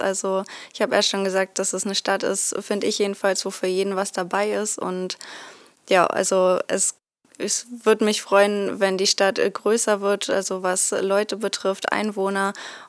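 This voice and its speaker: On a very clean recording with a silent background, a woman speaks fairly slowly at medium pitch with monotone, flat intonation. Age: 20s. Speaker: software developer. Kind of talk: podcast interview.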